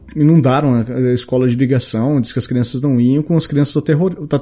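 Over a very clean recording with a silent background, a man speaks at a fairly quick pace in a fairly high pitch with a dark, mellow tone. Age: 30s. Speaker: podcast host. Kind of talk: casual chat.

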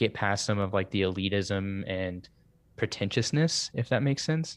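Recorded very cleanly against a silent background, a man with an American accent and a fairly low pitch talks at a moderate pace in an unremarkable speaking voice. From US Southeast. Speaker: podcast host and musician. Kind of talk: casual chat.

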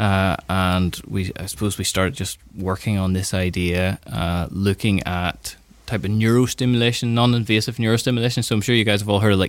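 This man has an unremarkable speaking voice with a fairly low pitch. He talks at a fairly quick pace, and his intonation stays fairly even. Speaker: doctor and neuroscience researcher. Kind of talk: explaining, interview. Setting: studio.

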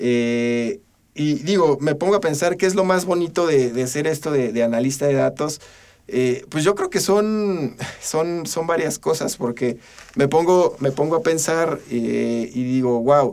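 A man speaks at a very slow pace. His voice sits fairly high. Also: ordinary pitch variation. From central Mexico. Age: 20s. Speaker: data analyst. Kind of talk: interview. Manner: halting, many fillers and repetitions.

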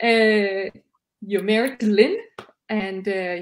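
A woman with a Danish accent, medium pitch and ordinary pitch variation. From Denmark. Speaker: livestream co-host. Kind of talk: interview. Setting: video call.

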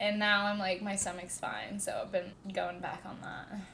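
A woman speaks at a moderate pace. Hers is a normal speaking voice, fairly high in pitch. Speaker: podcast co-host. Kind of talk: casual chat.

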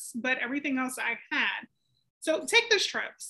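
The voice is raised and projected, with a bright, sharp tone and very wide pitch swings. It moves at a moderate pace. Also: woman. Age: 30s. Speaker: podcast co-host. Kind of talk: casual chat.

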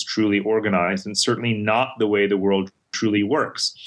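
A man with an American accent talks at a fairly quick pace in an ordinary speaking voice, his pitch fairly low. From mixed upbringing: India, Middle East, New York, Germany. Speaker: global strategist and author. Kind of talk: interview.

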